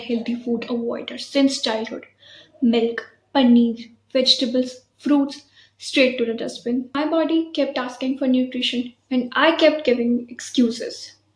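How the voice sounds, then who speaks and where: A woman speaks with an Indian accent in a high voice. Her pace is moderate and her intonation fairly even. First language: Hindi. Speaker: vlogger. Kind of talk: guided breathing exercise; personal story vlog.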